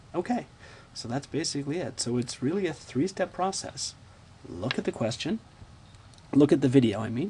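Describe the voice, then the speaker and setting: Lively intonation marks this man's somewhat breathy, dark, mellow voice, pitched fairly high and moving at a moderate pace. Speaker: math teacher. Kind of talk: tutorial. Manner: casual, repetitive fillers.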